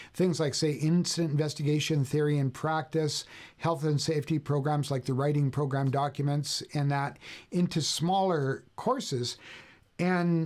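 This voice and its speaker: A man's fairly high voice at a moderate pace with fairly even intonation, in a very clean recording with a silent background. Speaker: safety channel host. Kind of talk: live stream chat. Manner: mumbling; casual with many fillers.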